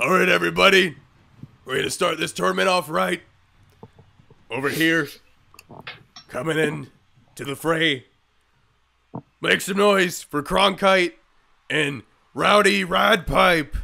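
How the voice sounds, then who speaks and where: Putting on a raspy character voice, a man speaks at a fairly slow pace and a fairly high pitch, with long, frequent pauses. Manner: hyping up a crowd.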